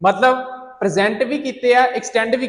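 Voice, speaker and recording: Intonation here is fairly even. It belongs to a man. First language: Punjabi (speaking Hindi). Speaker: IELTS teacher. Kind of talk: lecture.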